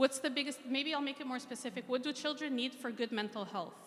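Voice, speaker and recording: Fairly quick in pace, a woman speaks in a high-pitched voice. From Egypt, then Montreal and Ottawa, Canada from childhood. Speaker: mental health clinician. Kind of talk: interactive talk.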